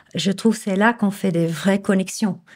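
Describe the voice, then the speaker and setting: A woman speaks at a moderate pace with a dark, mellow tone and fairly even intonation. The recording is very clean, with a silent background. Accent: slight Flemish. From Flemish Belgium, Bruges. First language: Dutch (Flemish) (speaking French). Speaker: image consultant and coach. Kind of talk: interview. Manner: hesitant, many fillers.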